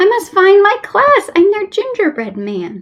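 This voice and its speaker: A woman puts on a squeaky character voice at a moderate pace. Faint music plays in the background. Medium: read story. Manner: bouncy, upbeat, rhyming.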